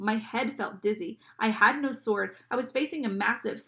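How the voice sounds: Ordinary pitch movement in a natural reading voice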